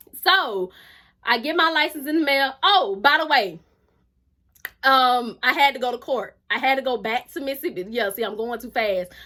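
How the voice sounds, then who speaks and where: A woman's raised, projected voice, high-pitched and bright with a sharp tone, animated and with lively intonation at a moderate pace, on a very clean recording with a silent background. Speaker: YouTuber. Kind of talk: storytime vlog.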